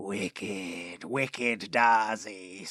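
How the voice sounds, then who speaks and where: Using a put-on character voice, a man sounds raspy at a fairly low pitch with ordinary pitch variation. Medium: read story. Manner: cold, hissing menace.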